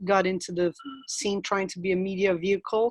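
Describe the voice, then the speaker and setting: A woman speaks in a Brazilian Portuguese accent. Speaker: anthropologist. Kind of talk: webinar interview.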